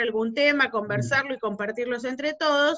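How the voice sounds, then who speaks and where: This woman's voice sits high in pitch and shows ordinary pitch variation. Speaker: lawyer, institute coordinator. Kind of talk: online meeting moderation. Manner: hesitant, many fillers.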